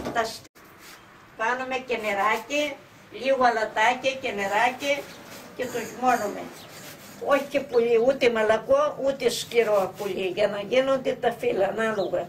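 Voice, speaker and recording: Over noticeable background noise, a woman with a fairly high pitch speaks with fairly even intonation and long, frequent pauses. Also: fairly slow pace. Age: 90s. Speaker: home cook, grandmother. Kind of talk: cooking tutorial. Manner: halting.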